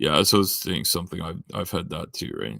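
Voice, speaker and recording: A man speaks with vocal fry and a bright, sharp tone, in a very clean recording with a silent background and a dry, close sound with no echo. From Southern Ontario, Canada. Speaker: livestreamer. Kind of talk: casual chat. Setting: livestream. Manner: halting, many fillers.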